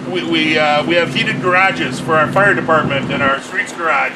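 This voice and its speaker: Over noticeable background noise, a loud man with an American accent speaks at a moderate pace in a high pitch. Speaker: mayor. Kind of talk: public speech at rally.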